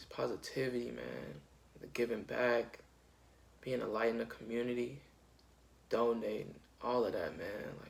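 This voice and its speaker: Audible room echo surrounds the voice, and the loudness swings a lot. The speech has long, frequent pauses. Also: man, moderate pace. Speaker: youtuber and musician. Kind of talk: casual vlog talk. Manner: halting.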